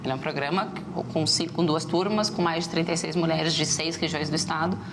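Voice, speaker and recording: A woman speaks at a fairly quick pace with fairly even intonation. Audible room echo and noticeable background noise are present. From southern Brazil, Rio Grande do Sul (Rio Grande). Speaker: startup entrepreneur and business mentor. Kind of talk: TV interview. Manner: fast.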